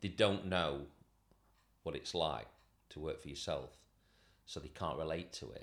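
Vocal fry at a moderate pace, with ordinary pitch variation, big swings in loudness, and long, frequent pauses. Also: man, very deep, low pitch for a man. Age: 50s. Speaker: shoe repairer and business owner. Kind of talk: casual interview.

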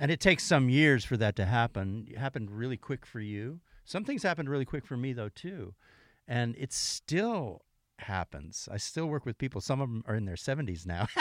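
A man speaks in an ordinary speaking voice at medium pitch, moving at a fairly quick pace with lively intonation. The recording is very clean, with a silent background. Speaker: session guitarist. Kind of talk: casual interview chat. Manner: joking, playful.

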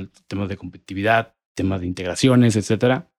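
A man speaks very fast at a fairly low pitch, his intonation fairly even, in a dry, close sound with no echo. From Monterrey, northern Mexico. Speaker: petrochemical industry strategy manager. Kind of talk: interview.

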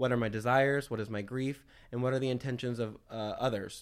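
At a very fast pace, a man speaks at a medium pitch. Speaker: news segment presenter. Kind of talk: casual podcast chat.

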